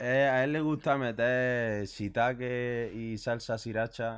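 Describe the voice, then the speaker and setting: A man speaks over a quiet background. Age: 20s. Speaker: musician; guest. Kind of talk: casual chat. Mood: relaxed, conversational. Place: shop. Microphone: studio mic.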